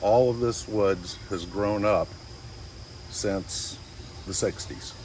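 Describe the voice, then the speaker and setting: Speaking very slowly, a man with a US Midwestern accent keeps a fairly low pitch. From Oberlin, Ohio, US Midwest. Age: 60s. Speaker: local guide. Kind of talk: guided tour. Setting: outdoors.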